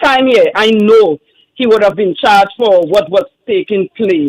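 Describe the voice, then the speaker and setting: With a dry, close sound and no echo, a man speaks at a fairly slow pace in a high pitch. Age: 60s. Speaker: caller. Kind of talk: call-in comment.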